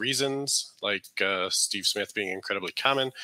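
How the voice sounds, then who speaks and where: The recording is dry, with no echo at all. A man speaks at a fairly quick clip. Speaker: guest. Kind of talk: lecture. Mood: relaxed, humorous. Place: home room. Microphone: headset.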